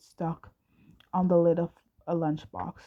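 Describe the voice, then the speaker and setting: A woman's dark, mellow tone at a fairly slow pace. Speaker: amateur fanfiction audiobook reader. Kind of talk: casual chat; reading aloud. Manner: halting, frequent stumbles and restarts.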